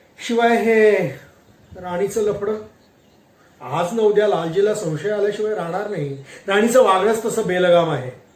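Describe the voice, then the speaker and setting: A man's high voice with ordinary pitch variation, amid noticeable background noise. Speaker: voice-over artist. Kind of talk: read story.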